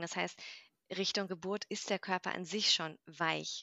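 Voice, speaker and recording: A woman with an ordinary speaking voice talks at medium pitch and a moderate pace with fairly even intonation. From Mainz, Germany. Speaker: yoga teacher. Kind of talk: casual interview.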